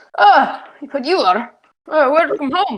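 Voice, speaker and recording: In a gruff, high-pitched, put-on character voice, the speaker goes at a fairly slow pace. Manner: welcoming.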